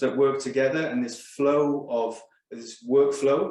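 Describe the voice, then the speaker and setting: A man with a Welsh accent talks at a fairly slow pace in a fairly high pitch, his intonation fairly even, with audible room echo around him. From Wales. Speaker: pharmaceutical scientist. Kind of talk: corporate presentation.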